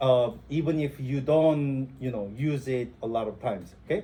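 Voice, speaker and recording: A somewhat breathy, dark and mellow voice in a non-native accent, fairly slow, with ordinary pitch variation. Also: man. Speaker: instructor. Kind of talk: lecture. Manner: halting, many fillers.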